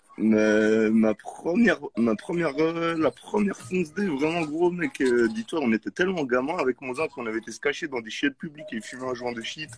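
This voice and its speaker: The speech moves at a moderate pace with hardly any pauses, lively intonation and big swings in loudness. The sound is dry and close with no echo, though background noise is noticeable. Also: man, fairly high pitch for a man. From Geneva, Switzerland. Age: 30s. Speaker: rapper. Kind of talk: casual chat.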